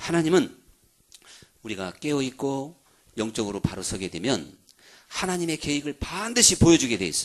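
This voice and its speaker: Moving at a moderate pace, a man talks with very wide pitch swings. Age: 60s. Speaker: pastor. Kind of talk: sermon. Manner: animated.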